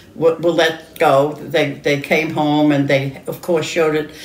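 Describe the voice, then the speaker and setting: With an American accent, a woman talks while clear background noise runs underneath. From New York City, Lower Manhattan. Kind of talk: interview answer. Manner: hesitant, halting.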